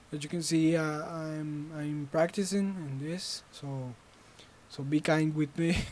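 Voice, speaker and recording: Speech comes at a very slow pace. The speaker talks in a Spanish accent. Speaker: student game developer. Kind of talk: tutorial. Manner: halting.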